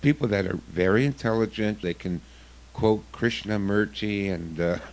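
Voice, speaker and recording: A man with a fairly low pitch and ordinary pitch variation talks in an ordinary speaking voice. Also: moderate pace. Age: 60s. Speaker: self-defense instructor. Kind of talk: radio interview.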